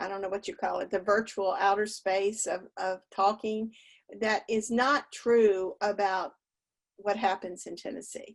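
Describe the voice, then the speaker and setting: Against a quiet background, a woman with a Southern accent talks at a medium pitch, fairly slowly and with fairly even intonation. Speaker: voting rights volunteer. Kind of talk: panel presentation.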